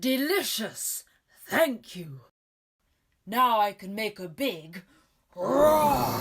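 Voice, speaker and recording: A female-sounding voice in a put-on character voice sits fairly high in pitch and moves at a very slow pace, broken by long, frequent pauses. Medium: read story. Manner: grand, theatrical.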